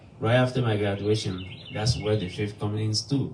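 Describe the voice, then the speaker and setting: Speech comes at a fairly slow pace in a West African accent. Audible room echo surrounds it. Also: man. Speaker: nonprofit executive director, guest speaker. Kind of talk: sermon-style testimony. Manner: halting, with fillers.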